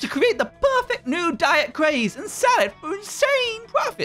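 A put-on character voice, pitched extremely high with very wide swings. The pace is moderate, and faint music plays in the background. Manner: cheerful, cartoonish.

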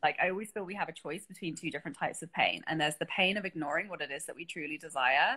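Talking at a very fast pace, a woman uses a fairly low voice with ordinary pitch variation. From England. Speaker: creative business coach; interview guest or host. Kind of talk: casual chat. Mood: warm, reflective. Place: home room. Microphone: video call.

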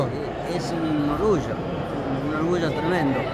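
Loud background noise runs under this man's voice. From Argentina. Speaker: gaucho-style folk reciter. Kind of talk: interview answer. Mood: proud, a bit nostalgic. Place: hall. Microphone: phone near.

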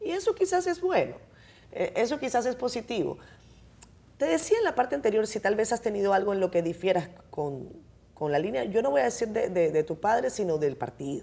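A woman talks at a fairly quick pace in a fairly high voice with a dark, mellow tone and vocal fry. Her pitch swings very widely. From Dominican Republic. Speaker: TV host. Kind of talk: interview. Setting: studio. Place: studio. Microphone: lapel.

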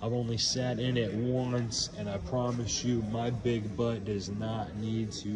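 Clear music plays in the background behind a man. He speaks at a very slow pace with fairly even intonation. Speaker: car salesperson. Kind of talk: sales walkaround video message. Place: shop. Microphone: phone near.

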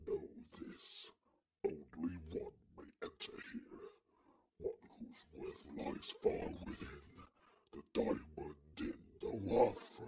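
A man's put-on character voice, extremely high in pitch, very slow, with long, frequent pauses.

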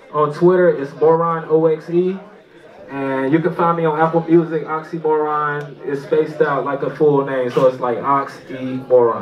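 The speaker talks at a moderate pace with ordinary pitch variation. Light background noise is present. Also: man. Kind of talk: stage outro announcement. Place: stage.

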